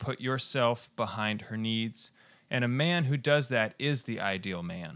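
An unremarkable speaking voice with an American accent, lively intonation and a fairly slow pace, on a very clean recording with a silent background. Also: man, medium pitch for a man. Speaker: radio host.

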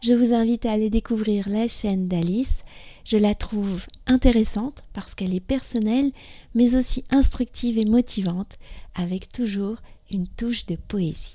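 Somewhat breathy and dark, mellow in tone, a woman speaks at a fairly high pitch and moderate pace with fairly even intonation. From France. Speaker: podcast host, French teacher. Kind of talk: scripted narration. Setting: outdoors in a park.

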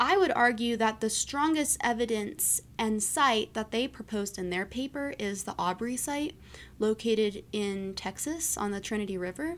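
A woman speaks at a moderate pace with a fairly high pitch and lively intonation in an ordinary speaking voice. The recording is very clean, with a silent background. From US East Coast. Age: 20s. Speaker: anthropology graduate student. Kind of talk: interview.

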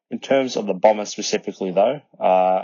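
Speaking at a very fast pace with an Australian accent, this voice shows ordinary pitch variation. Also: man. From Melbourne, Australia. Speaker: listener sharing a fan story. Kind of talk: recorded voice memo.

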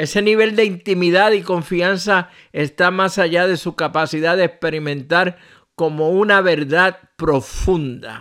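The speaker is a man whose pace is fairly slow. His pitch sits high. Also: ordinary pitch variation. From Puerto Rico. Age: 60s. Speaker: pastor. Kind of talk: radio devotional message.

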